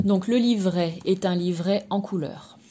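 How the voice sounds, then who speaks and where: The speaker is soft-spoken and talks at a very slow pace with ordinary pitch variation. Noticeable background noise runs underneath. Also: woman. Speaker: tarot card reader and energy therapist. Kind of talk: product review and card presentation. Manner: hesitant, many fillers.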